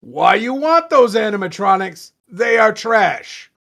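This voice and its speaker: A put-on character voice comes through at a fairly high pitch. The pace is fairly slow. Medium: read story.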